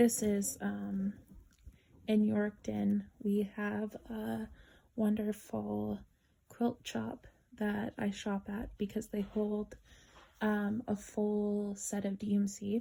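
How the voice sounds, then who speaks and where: A woman talks extremely slowly, stopping often for long breaks. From Canada. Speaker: cross-stitch vlogger. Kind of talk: casual chat. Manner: halting, many fillers.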